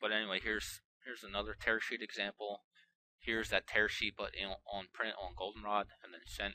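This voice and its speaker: A man's voice, fairly low in pitch. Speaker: marketing consultant teaching video. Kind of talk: tutorial. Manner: fast; casual, with many fillers.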